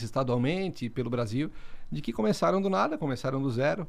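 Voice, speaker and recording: A man at a fairly quick pace. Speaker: podcast co-host. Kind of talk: casual chat. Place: meeting room. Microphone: studio mic.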